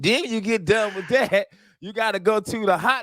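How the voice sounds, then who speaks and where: A man with a high-pitched, bright, sharp voice speaks at a moderate pace with an American accent, his raised, projected delivery animated in tone. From US South. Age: 40s. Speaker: radio host. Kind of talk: casual chat. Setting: virtual studio.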